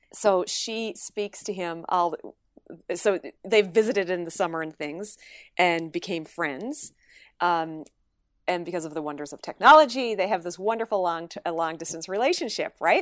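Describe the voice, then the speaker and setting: With a Newfoundland accent, a woman speaks at a moderate pace in a fairly low pitch, her pitch varying in an ordinary way while her loudness swings widely. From Newfoundland, Canada. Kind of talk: casual interview chat. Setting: video call.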